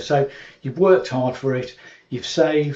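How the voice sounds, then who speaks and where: A man speaks at a fairly quick pace in a British accent. His voice is somewhat breathy. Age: 60s. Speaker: YouTube commentator. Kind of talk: casual monologue to camera. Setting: at home in cottage. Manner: hesitant, many fillers.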